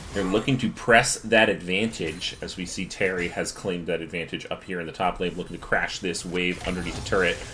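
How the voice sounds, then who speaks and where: Noticeable background noise surrounds a man with an American accent. He talks at a very fast pace with a fairly low pitch. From US Midwest, Michigan. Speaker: esports caster. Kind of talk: live commentary.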